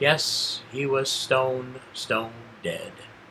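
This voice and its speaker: A man is talking here. His voice is medium-pitched. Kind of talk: horror story reading. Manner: calm.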